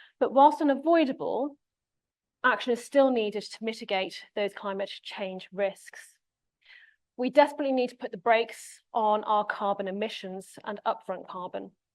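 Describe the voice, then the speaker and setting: On a very clean recording with a silent background, a woman with an English accent speaks at a fairly high pitch with ordinary pitch variation. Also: big swings in loudness. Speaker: conference speaker, associate professor. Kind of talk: conference presentation. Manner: fast.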